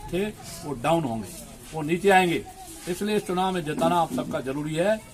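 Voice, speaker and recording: A man's high-pitched voice comes through with noticeable background noise. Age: 70s. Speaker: politician. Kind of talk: campaign speech. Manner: forceful.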